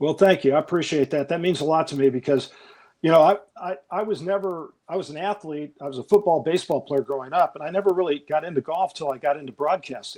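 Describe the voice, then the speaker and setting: A man with an American accent, a fairly high pitch, ordinary pitch variation and a very fast pace. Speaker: golf broadcaster. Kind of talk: interview. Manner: relaxed but passionate.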